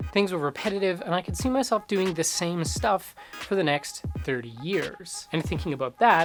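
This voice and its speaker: Music plays in the background. The speech has a moderate pace. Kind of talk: personal vlog voice-over.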